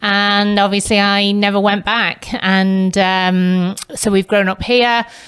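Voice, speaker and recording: A woman speaks at a very slow pace with hardly any pauses, at medium pitch. Her loudness is very even and her intonation monotone and flat. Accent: English. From northern England, Manchester. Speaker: real estate agent. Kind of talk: podcast interview.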